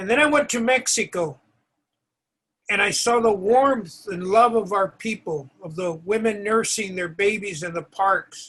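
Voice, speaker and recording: A man speaks at a fairly slow pace in a high pitch. His tone is bright and sharp, with ordinary pitch variation. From California, Mexican-American. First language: Spanish. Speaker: author and award presenter. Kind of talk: award ceremony speech.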